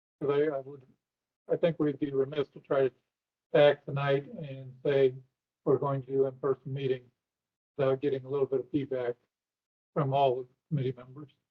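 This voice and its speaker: A man's somewhat breathy voice, fairly high in pitch, in a monotone, flat intonation at a fairly quick pace with long, frequent pauses. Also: big swings in loudness. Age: 60s. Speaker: committee chair. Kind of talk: meeting discussion. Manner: formal.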